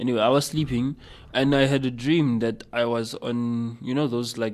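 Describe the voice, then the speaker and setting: Medium in pitch, a man's voice keeps a fairly even intonation. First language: not English. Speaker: guest on youth radio show. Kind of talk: casual chat.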